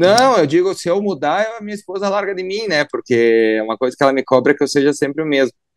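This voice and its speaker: Against a quiet background, a man talks at a fairly quick pace in a dry, close sound with no echo. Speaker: politician. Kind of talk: radio interview.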